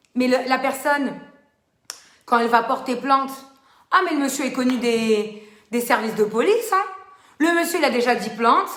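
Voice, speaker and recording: In a room with audible echo, a woman with a high pitch speaks at a moderate pace. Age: 30s. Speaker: social media live host. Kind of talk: live stream talk to viewers. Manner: loud; animated.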